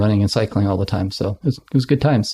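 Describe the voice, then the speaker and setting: Very fast and fairly low-pitched, a man with a Canadian accent speaks in a dark, mellow tone with ordinary pitch variation, on a very clean recording with a silent background. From Canada, West Kootenays, British Columbia. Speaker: former radio host and actor. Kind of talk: casual interview. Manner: energetic.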